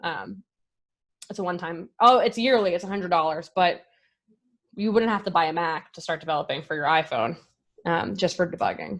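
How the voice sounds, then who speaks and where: A woman speaks at a fairly quick pace in a fairly low voice with ordinary pitch variation, big swings in loudness and long, frequent pauses against a quiet background. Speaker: software developer giving a tech talk. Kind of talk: live coding presentation. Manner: fast.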